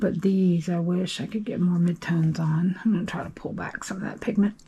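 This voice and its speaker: The pace is fairly quick. Noticeable background noise can be heard throughout. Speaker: watercolor artist. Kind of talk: tutorial. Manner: casual, chatty.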